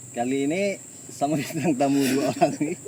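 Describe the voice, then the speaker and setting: A man amid noticeable background noise. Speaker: podcast host, university alumnus. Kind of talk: casual chat. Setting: outdoors, front yard of a campus camp.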